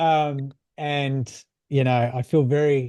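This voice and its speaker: Recorded dry and close with no echo, a man speaks at a medium pitch in an Australian accent. His tone is dark and mellow, with ordinary pitch variation. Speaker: mindset coach. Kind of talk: casual chat. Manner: halting.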